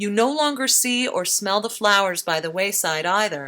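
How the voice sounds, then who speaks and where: Her tone is bright and sharp. This woman speaks with lively intonation at a moderate pace. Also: very clean recording, silent background. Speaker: radio essayist. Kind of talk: spoken-word radio feature.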